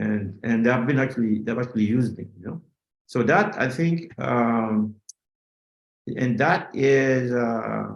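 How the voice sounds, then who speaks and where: Each word comes very slowly. The speech is in a non-native accent. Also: man. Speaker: finance professor. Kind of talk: interview. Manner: halting, many fillers.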